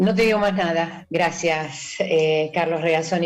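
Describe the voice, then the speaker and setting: Noticeable background noise sits behind a woman's voice. She speaks at a fairly low pitch with flat, monotone intonation. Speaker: radio host. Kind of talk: interview.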